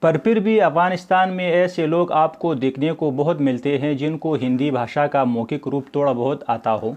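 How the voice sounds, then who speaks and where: A man with a Pashto accent talks in a fairly high pitch with ordinary pitch variation. The background is quiet. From Afghanistan. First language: Pashto (speaking Hindi). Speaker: Hindi lecturer and doctoral researcher. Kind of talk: educational talk. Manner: formal.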